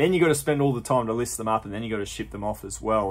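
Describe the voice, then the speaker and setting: A man speaks with an Australian accent. His intonation is lively. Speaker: thrift reseller YouTuber. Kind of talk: vlog narration. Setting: in thrift stores. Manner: animated. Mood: upbeat, pleased.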